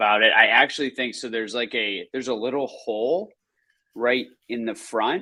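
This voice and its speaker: This man's voice is loud, with a bright, sharp tone and fairly even intonation. He keeps a moderate pace on a very clean recording with a silent background. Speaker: podcast co-host. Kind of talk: casual chat. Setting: live stream.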